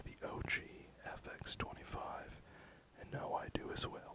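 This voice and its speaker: Whispering over noticeable background noise. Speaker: harsh noise musician. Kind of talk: ASMR gear walkthrough. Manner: soft-spoken.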